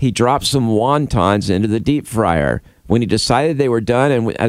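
The pitch moves in an ordinary way as the text is read aloud in a natural voice.

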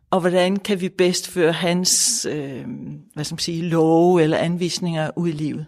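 A woman talks at a fairly slow pace in an unremarkable speaking voice. Her pitch is fairly low, with fairly even intonation. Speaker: Buddhist nun and centre leader. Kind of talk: interview. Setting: Buddhist centre.

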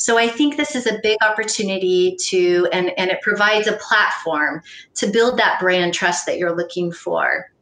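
A woman with an American accent speaks at a moderate pace in a medium pitch, with ordinary pitch variation and an unremarkable speaking voice. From US, farming family. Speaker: panel moderator and sustainability consultant. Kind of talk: moderated panel discussion.

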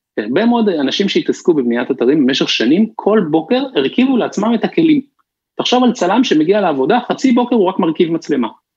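A man's high voice with very wide pitch swings and very even loudness. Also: fairly quick pace. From Israel, Bnei Brak. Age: 30s. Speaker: startup founder and CEO. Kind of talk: interview. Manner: halting.

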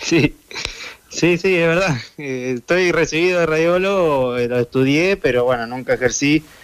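With an Argentine accent, a man speaks fairly slowly at fairly high pitch and very even loudness against noticeable background noise. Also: ordinary pitch variation. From Argentina. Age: 30s. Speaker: footballer. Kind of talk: interview.

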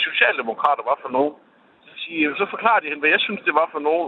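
Against noticeable background noise, someone talks at a fairly quick pace. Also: man. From Denmark, Kolding. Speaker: radio caller. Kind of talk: phone-in call. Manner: halting, many fillers.

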